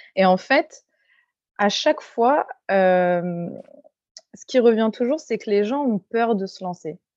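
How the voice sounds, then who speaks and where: A woman's fairly high voice, very slow in pace with lively intonation, in a dry, close sound with no echo. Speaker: hairdresser and salon owner. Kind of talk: interview.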